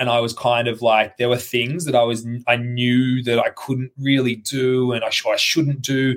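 Here a man talks with an Australian accent at a medium pitch. His intonation stays fairly even. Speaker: CrossFit athlete. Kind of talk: casual chat. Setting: video call. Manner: fast.

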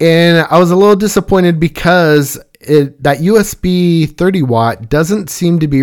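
With an unremarkable speaking voice pitched fairly high, a man talks at a moderate pace with hardly any pauses. The recording is very clean, with a silent background. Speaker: listener reviewing gear. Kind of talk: product review.

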